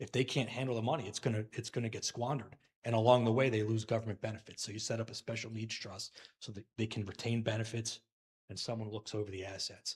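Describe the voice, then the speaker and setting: A man's somewhat breathy, medium-pitched voice at a very fast pace in a monotone, flat intonation. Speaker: financial advisor. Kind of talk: Q&A forum.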